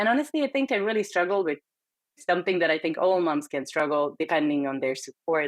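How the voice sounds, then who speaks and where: Talking at a very fast pace, a woman speaks in a fairly low pitch with a non-native accent. Her intonation is lively, and the sound is dry and close with no echo. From Hungary. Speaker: psychotherapist. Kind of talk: interview.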